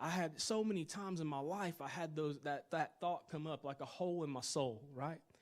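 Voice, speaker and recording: This man has a Tennessee accent, a high pitch and a fairly quick pace. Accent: Southern US (Tennessee). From US South, Chattanooga, Tennessee. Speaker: worship leader and minister. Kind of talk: testimony. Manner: fast; animated.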